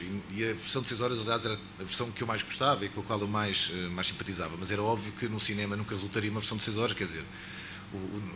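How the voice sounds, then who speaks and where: A man with a European Portuguese accent, fairly low in pitch, at a very fast pace, amid noticeable background noise and audible room echo. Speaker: filmmaker. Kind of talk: panel talk at film launch.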